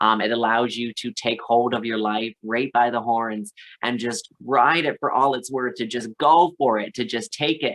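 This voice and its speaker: Against a quiet background, a man with a Canadian accent uses a normal speaking voice, medium in pitch, with fairly even intonation at a moderate pace. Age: 30s. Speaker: drag performer. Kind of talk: podcast interview.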